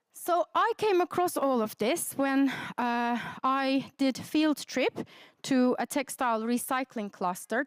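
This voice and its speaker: With a Turkish accent, a woman speaks at a high pitch with ordinary pitch variation. The sound is dry and close, with no echo. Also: very clean recording, silent background. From Turkey. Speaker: academic researcher. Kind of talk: conference presentation.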